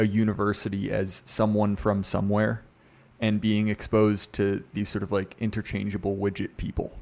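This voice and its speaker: With an American accent, a man talks at a moderate pace in a fairly low pitch. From US South, Virginia. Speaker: podcast guest, literary commentator. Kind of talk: casual podcast discussion.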